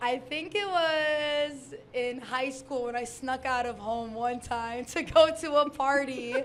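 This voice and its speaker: A woman with an American accent, high pitch, ordinary pitch variation and a very slow pace, amid noticeable background noise and audible room echo. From Detroit, Michigan, US. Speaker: electronic music producer and DJ. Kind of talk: interview. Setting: live stage with audience.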